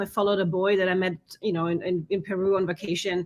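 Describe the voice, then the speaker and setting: In a German accent, a woman speaks at a fairly quick pace on a very clean recording with a silent background. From Germany, Bavaria (Munich). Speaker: conference organizer for expats. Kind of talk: casual interview. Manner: halting, many restarts.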